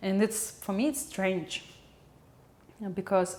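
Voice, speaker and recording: Speaking at a fairly slow pace, a woman with a Russian accent shows ordinary pitch variation. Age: 20s. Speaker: video blogger and film editor. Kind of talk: casual vlog monologue. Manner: halting.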